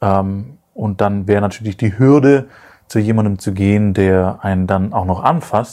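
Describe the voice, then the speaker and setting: A man's dark, mellow tone, fairly low in pitch, with ordinary pitch variation. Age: 30s. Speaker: podcast co-host. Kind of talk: casual chat. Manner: halting.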